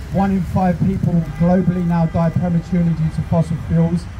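With music in the background, a man speaks at a fairly quick pace in a high pitch. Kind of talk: protest speech. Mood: earnest, personal. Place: street. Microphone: handheld.

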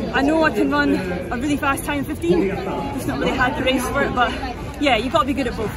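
Over crowd noise in the background, a woman talks at a fairly quick pace, the sound dry with no echo. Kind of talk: interview answer. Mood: candid, slightly subdued. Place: stadium. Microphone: handheld.

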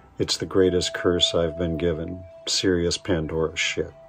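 Faint music plays behind a man whose very deep, low voice moves at a fairly slow pace in a monotone, flat intonation. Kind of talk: spoken word poetry reading. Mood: reflective, wry, intense. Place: home room. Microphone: studio mic.

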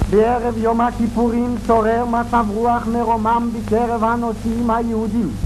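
A man's extremely high voice over background music, fairly slow, flat and monotone, very even in loudness, with hardly any pauses. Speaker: newsreel narrator. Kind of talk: 1930s documentary newsreel narration. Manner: flowery, formal. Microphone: old recording.

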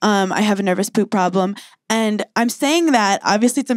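A woman talks with an American accent and lively intonation. The background is quiet. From US, New York City. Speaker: stand-up comedian; podcast guest, comedian. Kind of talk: casual chat. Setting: live recording with audience. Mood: candid, playful, self-deprecating. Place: studio. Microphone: handheld.

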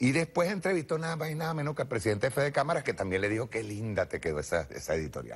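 Vocal fry runs through a man's fairly high voice. He speaks at a very fast pace with very wide pitch swings. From Venezuela. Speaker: TV political show host; TV show host. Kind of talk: political commentary. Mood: sarcastic, mocking. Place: studio. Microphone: lapel.

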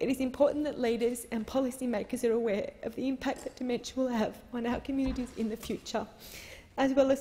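A woman speaks very fast in a high, tearful voice. Her intonation stays fairly even. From Australia. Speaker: politician. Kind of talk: parliamentary speech. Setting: parliament chamber. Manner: emotional, tearful. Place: hall. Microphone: podium.

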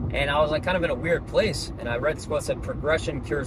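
Noticeable background noise surrounds a man whose voice has a dry sound with no echo. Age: 20s. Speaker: entrepreneur and video creator; young entrepreneur vlogger. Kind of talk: direct-to-camera vlog monologue. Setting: indoor video set. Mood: reflective, earnest. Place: car. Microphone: phone near.

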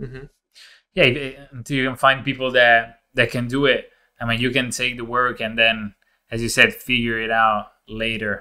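Over a quiet background, a man with an Italian accent speaks at a moderate pace in a bright, sharp tone. His intonation is monotone and flat, while his loudness swings widely. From Italy. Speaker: podcast co-host. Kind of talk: interview. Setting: video call. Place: home room.

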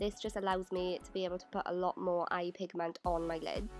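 Someone speaks with a British accent. Music plays in the background. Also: woman. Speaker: beauty youtuber. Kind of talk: makeup tutorial voiceover. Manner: casual, chatty.

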